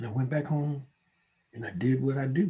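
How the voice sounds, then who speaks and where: Somewhat breathy, a man talks at medium pitch with a dark, mellow tone. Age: 70s. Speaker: recovering addict and gun violence researcher. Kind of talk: casual chat.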